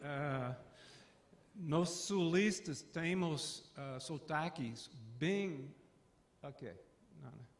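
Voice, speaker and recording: A man with an American accent and a fairly high voice speaks at a very slow pace with long, frequent pauses and ordinary pitch variation. His loudness swings widely, and audible room echo surrounds him. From US South, Atlanta. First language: English (speaking Portuguese). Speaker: professor. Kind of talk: lecture. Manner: halting.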